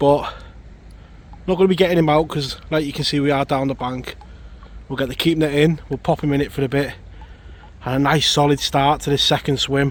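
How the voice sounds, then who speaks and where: A man speaks in a monotone with flat intonation. His speech has long, frequent pauses. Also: fairly high pitch for a man, fairly quick pace. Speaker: angling vlogger. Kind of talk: outdoor vlog commentary. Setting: outdoors on riverbank. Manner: casual, conversational.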